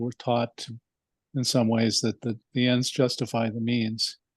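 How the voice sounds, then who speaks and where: Using an ordinary speaking voice, a man talks at a moderate pace and medium pitch with fairly even intonation, in a dry, close sound with no echo. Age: 60s. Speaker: class participant. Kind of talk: class discussion comment.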